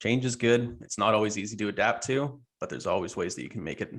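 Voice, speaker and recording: A man's fairly low voice at a very fast pace. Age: young. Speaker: industry trainer. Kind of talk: interview podcast. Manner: stutters on words.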